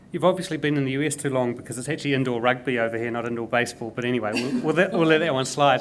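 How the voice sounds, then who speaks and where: A man talks very fast at a medium pitch. Noticeable background noise runs behind him. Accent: New Zealand. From New Zealand. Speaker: tech consultant and investor. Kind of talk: panel conversation. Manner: repeats words, stumbling.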